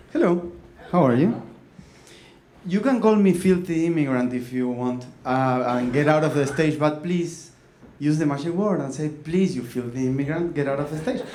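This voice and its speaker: A man with a Uruguayan accent speaks at a fairly high pitch and a moderate pace. His pitch variation is ordinary, and room echo is audible. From Uruguay, Montevideo. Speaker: comedic storyteller, copywriter. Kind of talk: stand-up storytelling. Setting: stage with audience.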